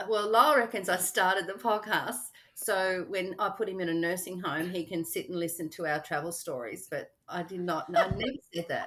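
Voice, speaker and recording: A woman's medium-pitched voice with an Australian accent, at a moderate pace, with ordinary pitch variation. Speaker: travel podcaster, retiree. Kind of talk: casual interview chat.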